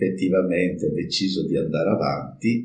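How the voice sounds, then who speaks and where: With audible room echo, a man speaks at a very deep, low pitch. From Friuli, northeastern Italy. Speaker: cooperative president, engineer. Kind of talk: interview, personal account. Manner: halting, with fillers.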